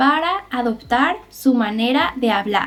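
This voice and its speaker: A woman with a Mexican accent talks at a very slow pace in a high pitch. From Mexico. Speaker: Spanish teacher. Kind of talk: tutorial. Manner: slow, clear enunciation.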